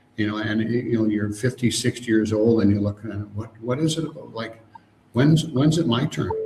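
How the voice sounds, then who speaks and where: Ordinary pitch variation marks a man's voice set against noticeable background noise. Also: medium pitch for a man, moderate pace. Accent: Canadian. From Canada. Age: 60s. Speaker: emotional freedom coach. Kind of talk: interview.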